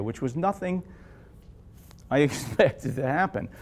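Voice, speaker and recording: Lively intonation from a man. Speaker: jazz guitarist. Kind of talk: Q&A after film screening. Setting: library event with audience. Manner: fast.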